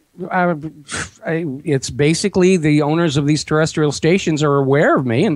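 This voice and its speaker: This man has an ordinary speaking voice with a fairly high pitch, ordinary pitch variation, very even loudness and a moderate pace. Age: 60s. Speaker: talk radio host and website owner, former visual effects producer. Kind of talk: interview.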